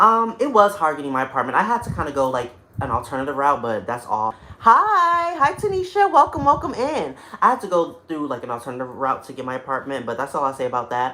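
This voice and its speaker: Very fast speech in an American accent comes through against clearly audible background noise. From North Carolina. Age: 20s. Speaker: singer and former vlogger. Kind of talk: livestream chat. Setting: home studio apartment, on beanbag chair.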